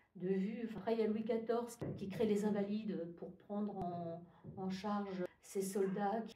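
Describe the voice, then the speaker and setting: Noticeable background noise and audible room echo surround a woman speaking at medium pitch and a fairly slow pace. Her intonation stays monotone and flat. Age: 60s. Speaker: retired union activist and archivist. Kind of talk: interview. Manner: hesitant, frequent fillers.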